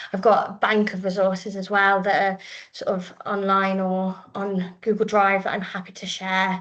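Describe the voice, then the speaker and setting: A woman at medium pitch with monotone, flat intonation. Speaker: primary school teacher. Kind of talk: presentation and Q&A. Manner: fast.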